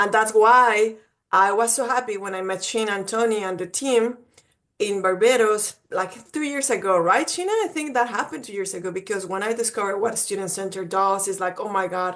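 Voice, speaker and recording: A woman in a Mexican accent, medium in pitch, at a fairly quick pace with ordinary pitch variation. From Mexico. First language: Spanish. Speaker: college admissions representative. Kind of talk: webinar presentation. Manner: animated.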